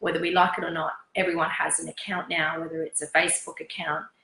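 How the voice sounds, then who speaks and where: A woman's fairly quick, flat, monotone delivery in an Australian accent. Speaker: fashion stylist. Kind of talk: interview. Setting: sitting on a sofa at home. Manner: hesitant with fillers.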